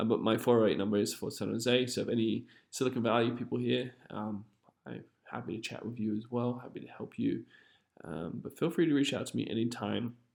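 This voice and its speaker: A man with an American accent speaks fairly quickly at a medium pitch with vocal fry. His pitch varies in an ordinary way. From England. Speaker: realtor. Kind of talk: seminar presentation. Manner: off the cuff, unscripted.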